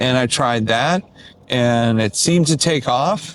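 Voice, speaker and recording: A man with an American accent talks at a very slow pace in a medium pitch. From Detroit. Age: 60s. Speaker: musician. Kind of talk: casual vlog talk to camera. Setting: in a car.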